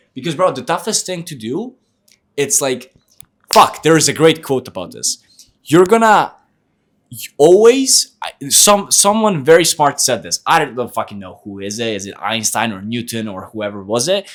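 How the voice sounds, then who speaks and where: A man with an Eastern European accent speaks in a fairly high voice. His pitch swings very widely, and his loudness swings greatly. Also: moderate pace. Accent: good Eastern European accent in English. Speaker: sales coach and podcast host. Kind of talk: casual chat. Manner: animated.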